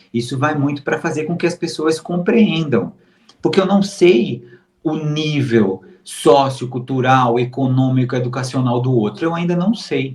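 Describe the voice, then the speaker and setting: Lively intonation from a somewhat breathy man. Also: fairly high pitch for a man, fairly slow pace. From Brazil, Recife (Pernambuco). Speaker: modeling agency booker. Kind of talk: interview. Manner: slow, measured; deliberate, clearly explained.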